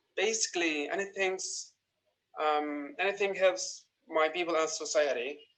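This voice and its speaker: A man with an Arabic accent talks in a high pitch with fairly even intonation. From Gaza. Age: 20s. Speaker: young writer. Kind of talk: recorded personal testimony.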